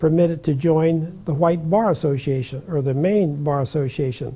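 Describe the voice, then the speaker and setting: With an American accent, a man with a fairly high pitch and a dark, mellow tone speaks at a fairly slow pace with fairly even intonation. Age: 90s. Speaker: retired judge. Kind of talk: interview, personal recollection. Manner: halting, many fillers and repetitions.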